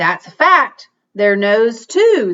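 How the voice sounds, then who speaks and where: Using a put-on character voice, a woman speaks at a fairly high pitch with very wide swings in pitch. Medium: read story. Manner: courtly, gentle.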